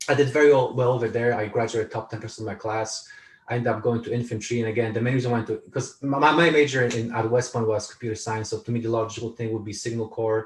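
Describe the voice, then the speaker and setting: Very fast and somewhat breathy, a man with a Polish accent speaks in a monotone, flat intonation. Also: medium pitch for a man, hardly any pauses. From Poland, moved to California at 14. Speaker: author and speaker, army veteran. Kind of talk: interview conversation. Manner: repetitive, halting with frequent restarts.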